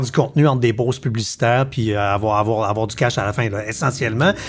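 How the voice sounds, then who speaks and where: A man with a Quebec accent talks at a very fast pace with hardly any pauses, in an animated tone that is somewhat breathy. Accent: Québécois French. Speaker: podcast host. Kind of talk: casual chat.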